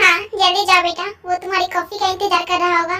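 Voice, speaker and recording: In a put-on character voice that sounds female, the speaker squeaks at an extremely high pitch, fairly quick and in a monotone, flat intonation. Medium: fan dub. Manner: warm, motherly.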